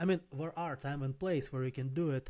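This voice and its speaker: A man's fairly high, dark, mellow voice at a fairly quick pace with fairly even intonation. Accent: non-native. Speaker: life and business coach. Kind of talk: casual talking-head advice video. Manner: conversational, some self-corrections.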